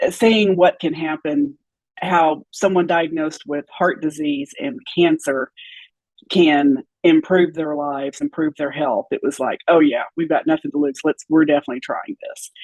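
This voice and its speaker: A woman with a fairly low pitch talks in a normal speaking voice, with lively intonation at a moderate pace. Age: 60s. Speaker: former nutrition client sharing health journey. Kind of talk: interview testimony.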